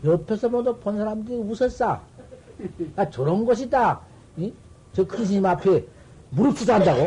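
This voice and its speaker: Pitched high with lively intonation, a man talks at a fairly quick pace broken by long, frequent pauses. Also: big swings in loudness. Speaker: Buddhist Zen master monk. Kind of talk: dharma talk sermon. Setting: temple dharma hall with assembly.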